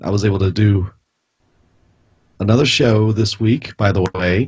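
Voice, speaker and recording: There is a somewhat breathy quality to this man's voice. His pitch sits fairly low. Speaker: podcast co-host. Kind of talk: casual chat.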